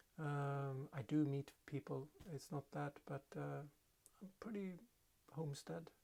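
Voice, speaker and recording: A man speaks with a Swedish accent. His pace is fairly slow. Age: 50s. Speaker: hobby potter. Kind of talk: casual vlog monologue. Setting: home pottery studio. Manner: halting, many fillers.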